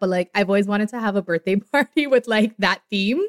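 Ordinary pitch variation at a fairly quick pace, in a dry, close sound with no echo. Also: woman, medium pitch for a woman.

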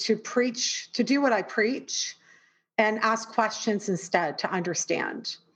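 She speaks with a Canadian accent. Her voice is fairly high in pitch. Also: quiet background. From Canada. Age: 40s. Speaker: performer and coach. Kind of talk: casual interview chat.

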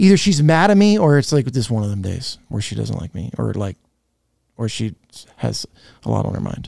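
A man talks at a fairly quick pace, broken by long, frequent pauses. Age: 40s. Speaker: podcast host, comedy theater owner. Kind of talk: casual chat. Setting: studio.

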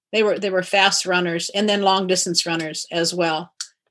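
A woman with a Pacific Northwest accent, medium in pitch, in a monotone, flat intonation. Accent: general American, Pacific Northwest. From Kirkland, Washington, US. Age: 60s. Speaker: CrossFit athlete, 65+ champion. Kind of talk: casual interview.

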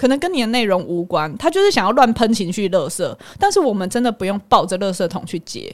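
Speaking with a strong Taiwanese accent, a woman has a fairly high pitch and lively intonation. She talks at a very fast pace. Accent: strong Taiwanese Mandarin. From Taiwan, Hualien. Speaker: psychologist. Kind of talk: casual chat.

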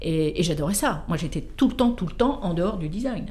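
Speech at a moderate pace comes with audible room echo and noticeable background noise. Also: woman. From France, Versailles. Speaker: car designer. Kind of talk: interview. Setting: studio.

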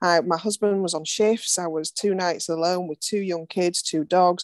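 In an unremarkable speaking voice, a woman at medium pitch talks at a fairly slow pace with fairly even intonation, in a dry, close sound with no echo. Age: 50s. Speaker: career coach. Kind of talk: casual chat.

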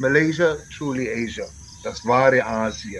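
A man talks over noticeable background noise. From Bavaria, Germany (Landsberg am Lech). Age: 60s. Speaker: tour operator. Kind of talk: interview.

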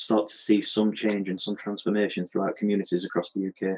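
A man speaks in a fairly low pitch with an unremarkable speaking voice. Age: 30s. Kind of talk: podcast interview.

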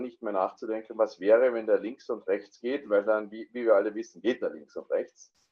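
A man speaks with an Austrian accent. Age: 40s. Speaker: amateur golfer, coaching client. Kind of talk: interview.

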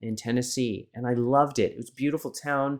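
In a very clean recording with a silent background, a man speaks at medium pitch and a moderate pace in an unremarkable speaking voice. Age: 40s. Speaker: photographer and confidence coach. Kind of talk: casual chat.

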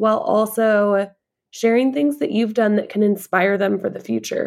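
Speaking at a moderate pace, a woman uses a plain, everyday voice with a fairly high pitch. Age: 30s. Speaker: content creator. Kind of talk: casual chat.

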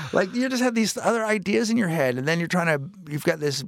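A man's high-pitched voice at a fairly quick pace with very wide pitch swings, in a very clean recording with a silent background. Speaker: stand-up comedian. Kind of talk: casual chat. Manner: loud.

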